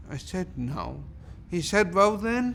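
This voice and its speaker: Audible room echo surrounds a man's voice as he talks. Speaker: theatre artistic director and actor. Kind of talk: interview conversation.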